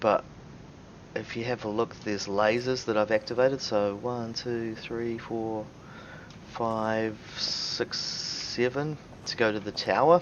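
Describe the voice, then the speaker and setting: A man talks at a fairly slow pace, with long, frequent pauses and fairly even intonation. His pitch is medium, and there is noticeable background noise. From New Zealand. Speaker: video game streamer. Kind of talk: let's play commentary. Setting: live stream. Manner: casual, with many fillers; quiet voice.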